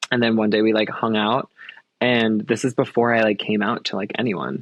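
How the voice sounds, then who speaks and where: A man with an American accent and an unremarkable speaking voice, medium pitch, fairly even intonation and moderate pace. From Long Island, New York. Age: 20s. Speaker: professional dancer. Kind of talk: casual chat. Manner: casual, filler-heavy.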